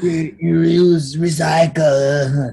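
The voice is a put-on character voice. Its pitch sits in the middle range. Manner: eerie, ominous, drawn out.

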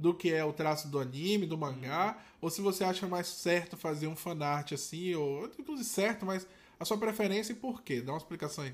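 A man talks at a moderate pace. His pitch is high, and his intonation is lively. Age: 30s. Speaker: tattoo artist, podcast host. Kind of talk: casual chat.

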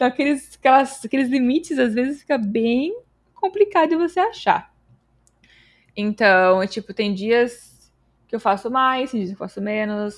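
A woman speaks at a moderate pace with a high pitch and lively intonation, leaving long, frequent pauses. The recording is very clean, with a silent background. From Brazil, São Paulo state. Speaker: developer relations engineer and streamer. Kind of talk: casual interview chat.

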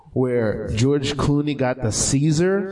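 With an American accent, a man speaks at a fairly high pitch and moderate pace amid noticeable background noise. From Haitian family, US. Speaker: comedy podcast co-host. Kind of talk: live comedy talk show. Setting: stage with audience.

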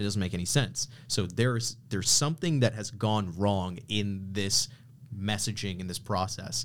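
A man speaks at a moderate pace in a plain, everyday voice. His pitch is fairly low, with ordinary variation. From Canada. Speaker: podcast guest, branding entrepreneur. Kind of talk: casual chat. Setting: studio.

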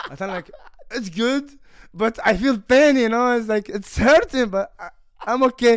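A man's extremely high pitch at a fairly slow pace, with ordinary pitch variation and an Arabic accent. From Kuwait. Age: 20s. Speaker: MMA fighter. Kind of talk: casual chat. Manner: halting.

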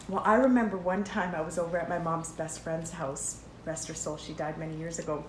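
A woman talks at a fairly quick pace with a Canadian accent in a fairly low pitch. Her pitch varies in an ordinary way, and there is noticeable background noise. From Canada, Edmonton area. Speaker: podcast co-host. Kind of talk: casual chat. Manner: animated.

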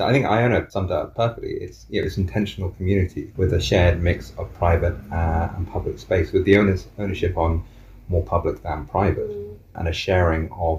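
Over noticeable background noise, a man with a very deep, low voice talks at a fairly quick pace. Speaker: co-housing group member. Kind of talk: interview.

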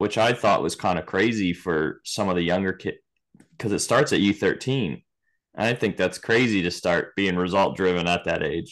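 Against a quiet background, a man with an American accent speaks at a moderate pace in a fairly low pitch, using a plain, everyday voice. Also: ordinary pitch variation. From Virginia. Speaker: podcast host. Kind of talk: casual chat.

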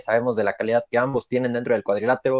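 A man with a Mexican accent, his sound dry and close with no echo, over a quiet background. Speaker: wrestling podcast co-host. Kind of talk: casual chat.

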